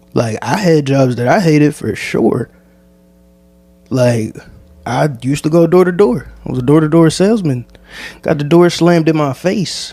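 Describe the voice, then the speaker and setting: A man with an American accent speaks at a moderate pace with a fairly high pitch, a dark, mellow tone, lively intonation and long, frequent pauses. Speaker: podcast host. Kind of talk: solo podcast monologue. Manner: casual.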